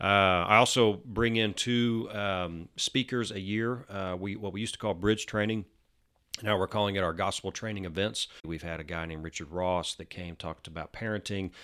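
In a fairly low voice with a bright, sharp tone, a man speaks with an American accent at a moderate pace. His intonation stays fairly even, and the recording is very clean with a silent background. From North Texas, Denton. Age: 40s. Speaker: church minister. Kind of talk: casual interview. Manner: halting, many fillers.

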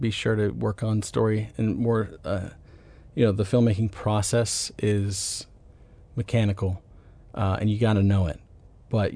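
A man with an American accent speaks at a moderate pace in a fairly low pitch, his dark, mellow tone somewhat breathy and his intonation fairly even. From US South, Atlanta, Georgia. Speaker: film writer and director. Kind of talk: interview conversation.

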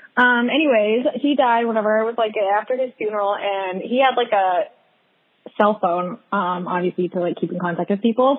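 In a plain, everyday voice, the speaker moves at a fairly quick pace with ordinary pitch variation. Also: woman, fairly high pitch for a woman. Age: 20s. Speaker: podcast guest. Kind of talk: casual chat.

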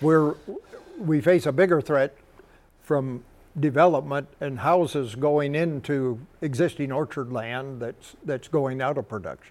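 It's a plain, everyday voice from a man with a fairly high pitch. He talks at a fairly slow pace with ordinary pitch variation. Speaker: irrigation district representative, grower. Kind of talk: panel discussion.

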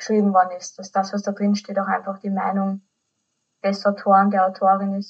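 A somewhat breathy woman's voice at a medium pitch. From Austria. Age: 20s. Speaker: podcast host. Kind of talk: casual chat.

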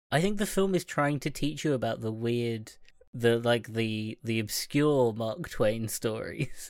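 A man with an unremarkable speaking voice, medium pitch, a fairly slow pace, and lively intonation. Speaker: podcast co-host. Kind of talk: casual chat.

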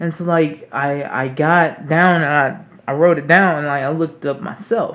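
A man's plain, everyday voice, fairly high in pitch, with fairly even intonation at a moderate pace. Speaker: podcast co-host. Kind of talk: casual chat.

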